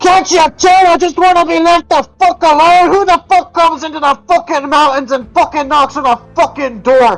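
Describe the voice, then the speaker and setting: A put-on character voice, gruff and high-pitched, at a moderate pace with music in the background. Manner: angry, hostile.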